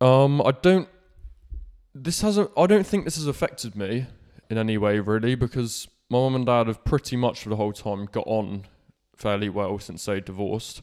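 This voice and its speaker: A man with a Cornish accent speaks at a moderate pace on a very clean recording with a silent background. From Cornwall, England. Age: 20s. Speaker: podcaster. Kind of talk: personal monologue.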